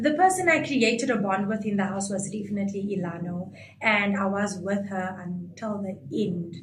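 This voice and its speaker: At a moderate pace, the speech comes through audible room echo and noticeable background noise. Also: woman, medium pitch for a woman, ordinary pitch variation. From South Africa, Coloured community. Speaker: reality show contestant. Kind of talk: interview. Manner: animated.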